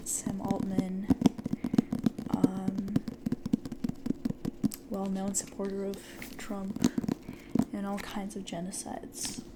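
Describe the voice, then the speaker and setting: Soft-spoken and high in pitch, a man keeps a fairly even intonation amid noticeable background noise. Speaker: ASMR creator. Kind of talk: ASMR podcast talk.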